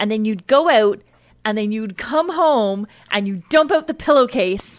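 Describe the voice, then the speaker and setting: A woman has a normal speaking voice with fairly high pitch. She talks at a fairly slow pace. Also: lively intonation. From Newfoundland, Canada (Corner Brook). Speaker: radio co-host. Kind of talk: casual chat. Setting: radio studio.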